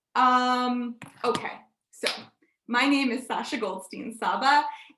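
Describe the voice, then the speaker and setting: Speaking at a fairly slow pace with fairly even intonation, a woman with an American accent has a high, bright and sharp voice, with audible room echo around her. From United States. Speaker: digital curator and session host. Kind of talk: conference presentation.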